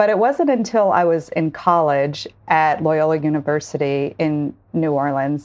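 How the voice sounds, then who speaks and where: In a quiet background, a woman speaks with a very deep, low pitch. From Monroe, northeast Louisiana. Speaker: reproductive justice advocate. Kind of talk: interview.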